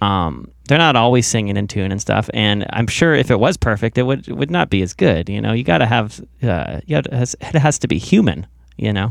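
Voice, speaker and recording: Against a quiet background, a man talks at a fairly quick pace with a fairly low pitch and vocal fry. His pitch swings very widely. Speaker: podcast host and musician. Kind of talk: casual interview chat. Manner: hesitant, many repetitions and fillers.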